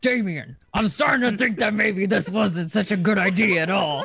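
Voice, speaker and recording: Putting on a gruff character voice, a man talks at a moderate pace with a high pitch. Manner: sweet, gentle.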